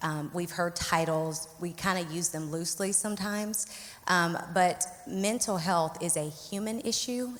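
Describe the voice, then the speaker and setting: At a fairly slow pace, a woman with a fairly low voice speaks with ordinary pitch variation over noticeable background noise. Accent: Southern US. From Arkansas, US South. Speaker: licensed clinical social worker, therapist. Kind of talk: panel interview.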